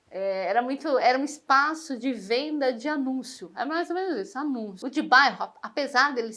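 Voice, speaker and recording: Her high-pitched voice has a bright, sharp tone and lively intonation as the woman speaks. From Brazil, São Paulo. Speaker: interviewee. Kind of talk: interview testimony. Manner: hesitant, many fillers.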